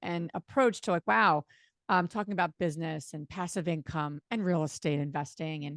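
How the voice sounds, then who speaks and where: A woman with a slight New Jersey accent at a fairly quick pace, with a dry, close sound with no echo on a very clean recording with a silent background. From New Jersey, US. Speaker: real estate investor. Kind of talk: podcast interview. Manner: fast.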